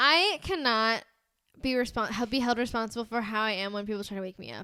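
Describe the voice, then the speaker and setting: A woman with an American accent talks at a very fast pace, her pitch fairly high with ordinary variation. Her loudness swings widely. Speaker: podcast co-host. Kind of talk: casual chat. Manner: casual, filler-heavy.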